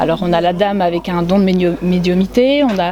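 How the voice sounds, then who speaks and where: Amid noticeable background noise, a woman talks at a moderate pace in a medium-pitched voice. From northern France, Amiens. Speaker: painter. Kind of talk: interview. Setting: art fair.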